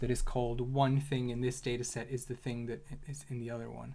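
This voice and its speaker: Somewhat breathy, a man talks at a fairly quick pace with a medium pitch. His intonation is monotone and flat. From Hungary. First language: Hungarian. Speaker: data analyst streamer. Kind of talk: livestream tutorial and casual chat. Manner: halting, many repeated words.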